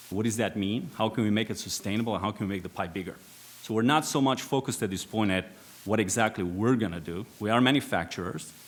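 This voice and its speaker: A man with a Romanian accent talks at a very fast pace. His voice is fairly low in pitch, with ordinary pitch variation. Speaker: aerospace executive, former air force pilot. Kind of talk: panel discussion. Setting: conference stage with audience.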